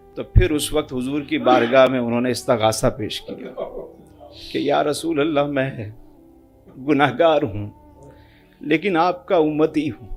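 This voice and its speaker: Music plays in the background. Over it, a man talks in a fairly high voice with ordinary pitch variation. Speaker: Islamic preacher giving a sermon. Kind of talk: religious sermon narrating an anecdote.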